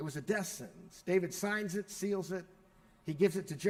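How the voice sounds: The text is read in a natural voice whose pitch varies in an ordinary way.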